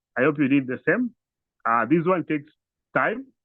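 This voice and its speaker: A man talks at a fairly high pitch. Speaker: instructor. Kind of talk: tutorial.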